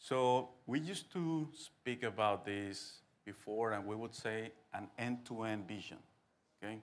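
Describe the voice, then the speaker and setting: With a Spanish accent, a man speaks at a fairly slow pace and with ordinary pitch variation. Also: medium pitch for a man. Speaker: business association president. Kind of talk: conference talk.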